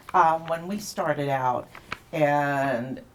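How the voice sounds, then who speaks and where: A woman with an American accent and a very deep, low pitch, showing ordinary pitch variation amid noticeable background noise. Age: 70s. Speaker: singer in a dance band. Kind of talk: casual interview.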